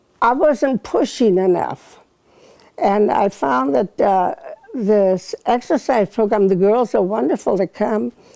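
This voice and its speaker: In an American accent, a woman speaks at a very slow pace with vocal fry. Her loudness stays very even while her pitch swings very widely. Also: medium pitch for a woman. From Northern California. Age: 80s+. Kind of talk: interview answer.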